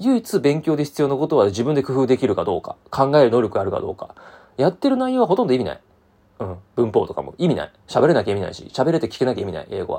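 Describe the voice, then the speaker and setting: Talking at a very fast pace, a man makes big swings in loudness. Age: 30s. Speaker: podcast host. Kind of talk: solo monologue. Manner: casual, many fillers.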